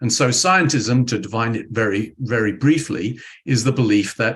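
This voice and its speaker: A man with a British accent speaks at a fairly slow pace. His medium-pitched voice is somewhat breathy. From United Kingdom. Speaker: physics professor. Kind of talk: interview. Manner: hesitant, with many fillers and restarts.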